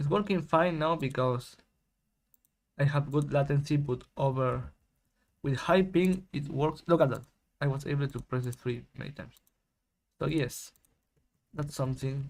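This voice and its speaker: On a very clean recording with a silent background, a man with a fairly high, somewhat breathy voice speaks at a moderate pace, pausing long and often. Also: fairly even intonation. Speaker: game developer. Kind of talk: casual commentary while coding and testing.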